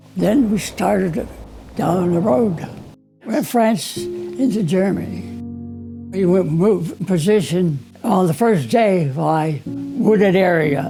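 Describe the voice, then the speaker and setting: With an American accent, a man speaks very slowly at a high pitch, using lively intonation and very even loudness, with audible room echo and music in the background. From Pennsylvania coal region. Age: 80s+. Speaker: war veteran. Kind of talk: testimony. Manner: halting.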